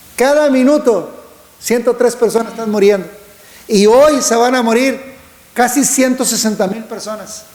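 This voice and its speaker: A man talks with an extremely high pitch and fairly even intonation. Noticeable background noise and audible room echo fill the recording. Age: 60s. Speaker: preacher. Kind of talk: sermon.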